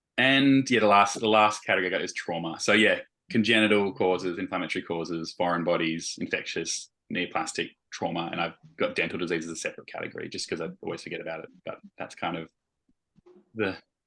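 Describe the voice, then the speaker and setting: Mumbling at a very fast pace, a man with a fairly low, bright and sharp voice shows ordinary pitch variation against a quiet background. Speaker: vet educator. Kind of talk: teaching discussion.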